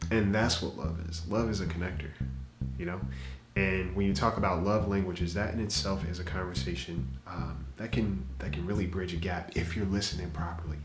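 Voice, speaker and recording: Music plays behind a man with a very deep, low voice. He talks at a fairly quick pace with ordinary pitch variation, and room echo is audible. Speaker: podcast host. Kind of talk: podcast monologue. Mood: calm, reflective. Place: home room.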